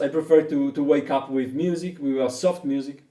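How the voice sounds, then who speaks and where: A man with an Italian accent speaks in a fairly high pitch with a dark, mellow tone. His intonation stays monotone and flat. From Italy. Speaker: didgeridoo teacher. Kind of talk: online lesson. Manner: halting.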